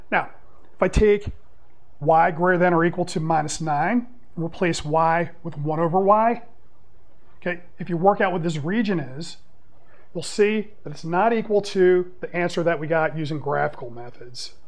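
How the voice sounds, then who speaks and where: A man with a high voice talks with long, frequent pauses. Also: ordinary pitch variation, moderate pace. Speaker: math teacher. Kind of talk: lecture. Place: classroom.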